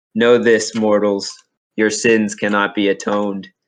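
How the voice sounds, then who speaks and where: In a put-on character voice, a man booms at a fairly low pitch, keeping a flat, monotone delivery at a moderate pace. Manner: solemn, ominous.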